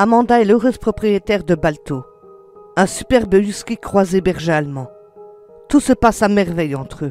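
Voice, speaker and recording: The speech moves at a moderate pace with long, frequent pauses. Music plays in the background. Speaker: storyteller. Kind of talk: horror story narration.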